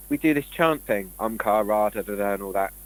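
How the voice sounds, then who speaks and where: With a British accent, a man at a fairly low pitch talks with lively intonation. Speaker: conspiracy show co-host. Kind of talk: casual chat. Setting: live stream. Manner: fast.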